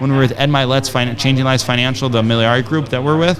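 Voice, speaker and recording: A man's very fast speech amid noticeable background noise and audible room echo. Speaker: entrepreneur and podcaster. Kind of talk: casual chat. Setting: studio. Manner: animated.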